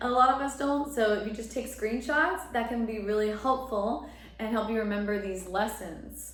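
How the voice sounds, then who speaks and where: In a room with audible echo and noticeable background noise, a woman speaks at a moderate pace in a fairly high pitch with ordinary pitch variation. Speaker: astrologer and tarot reader. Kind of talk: tarot reading monologue. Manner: casual, filler-heavy.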